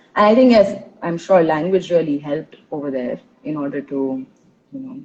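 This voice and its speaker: This is a woman's voice. She talks at a moderate pace. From India, Tulu-speaking Karnataka. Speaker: intercultural trainer, podcast host. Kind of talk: casual interview conversation. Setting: live stream.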